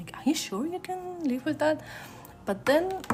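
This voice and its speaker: A woman's fairly quick, lively-intoned speech over music in the background. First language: not English. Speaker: art streamer. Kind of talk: casual chat. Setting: live stream. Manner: sounds stern or angry in tone.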